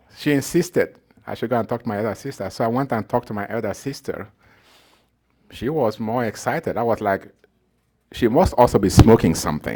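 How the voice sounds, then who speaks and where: A man with a dark, mellow tone and medium pitch speaks at a fairly quick pace with lively intonation, leaving long, frequent pauses. The recording is very clean, with a silent background. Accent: Nigerian. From Nigeria. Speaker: professor. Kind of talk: talk to an audience, personal story. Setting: evening talk with live audience.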